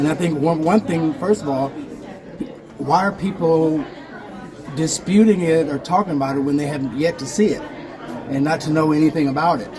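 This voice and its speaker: Crowd noise fills the background as the voice moves at a fairly quick pace with long, frequent pauses. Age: 60s. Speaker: actor's son attending a film festival. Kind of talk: casual interview. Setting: filmmaker's lounge at a film festival. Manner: halting, with false starts.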